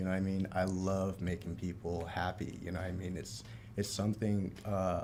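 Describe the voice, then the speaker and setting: Speaking with an American accent, a man uses a fairly low pitch and monotone, flat intonation at a moderate pace. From South Florida, Palm Beach Gardens. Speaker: bartender. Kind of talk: casual chat.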